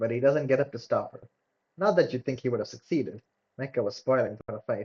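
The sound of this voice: Against a quiet background comes an unforced reading voice with lively intonation.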